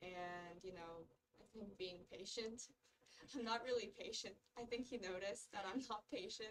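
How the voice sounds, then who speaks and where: A woman speaks in an unremarkable speaking voice at a medium pitch and moderate pace, with ordinary pitch variation. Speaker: medical student. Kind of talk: casual chat.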